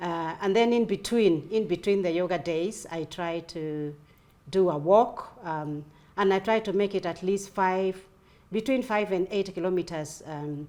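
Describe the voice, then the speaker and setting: Her pitch sits in the medium range for a woman. The pitch varies in an ordinary way. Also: fairly slow pace. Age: 60s. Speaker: retiree and fitness enthusiast. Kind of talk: casual interview chat. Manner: halting, with many fillers.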